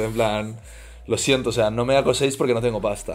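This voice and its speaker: A man speaks fairly quickly at a medium pitch. Audible room echo surrounds his voice. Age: 20s. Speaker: influencer and entrepreneur. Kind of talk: casual chat. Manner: animated.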